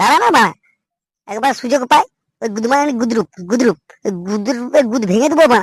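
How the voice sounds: A cartoonish character voice from a man, extremely high in pitch with a slightly husky edge, fast, with ordinary pitch variation and a dry, close sound with no echo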